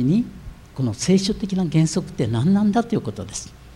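With a dark, mellow tone and vocal fry, a man talks at a fairly quick pace through very wide pitch swings. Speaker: pastor. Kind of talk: sermon.

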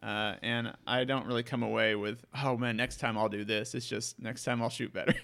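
At a moderate pace with hardly any pauses, the voice carries vocal fry and monotone, flat intonation on a very clean recording with a silent background. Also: man, medium pitch for a man. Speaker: podcast host. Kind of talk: casual chat.

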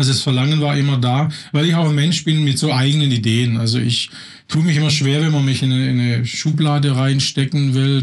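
A man speaks at a fairly quick pace with a fairly high pitch and a somewhat breathy voice. His intonation is fairly even and his loudness very even. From Swabia, southern Germany. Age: 50s. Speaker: life coach. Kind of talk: interview.

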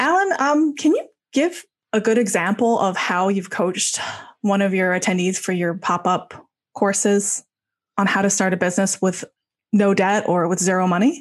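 Over a quiet background, a woman uses an ordinary speaking voice at medium pitch and a moderate pace. Her pitch variation is ordinary and her loudness very even. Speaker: podcast host. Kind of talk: interview.

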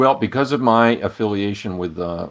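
This is a man with an American accent. He talks at a moderate pace. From Rhode Island, US. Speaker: data science instructor. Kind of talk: casual interview.

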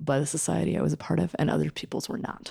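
In a Canadian accent, a woman speaks at a fairly quick pace with a very deep, low pitch, a dark, mellow tone and vocal fry, on a very clean recording with a silent background and a dry, close sound with no echo. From Canada. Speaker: social worker and sex educator. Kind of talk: interview conversation. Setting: in a home.

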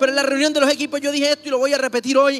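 Amid noticeable background noise, a man speaks in an animated tone at an extremely high pitch, with a dry, close sound and no echo. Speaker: pastor. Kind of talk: sermon.

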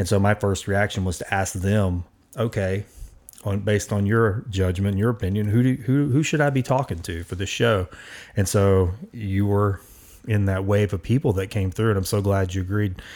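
This is a man with a normal speaking voice at a fairly low pitch. He keeps a moderate pace with ordinary pitch variation. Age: 40s. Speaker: podcast host. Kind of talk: casual chat. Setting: studio.

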